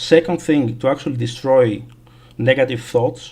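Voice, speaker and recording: Somewhat breathy, the voice moves at a fairly slow pace with ordinary pitch variation and a non-native accent. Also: man. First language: not English. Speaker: gaming streamer. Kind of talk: casual livestream chat. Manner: halting, many fillers.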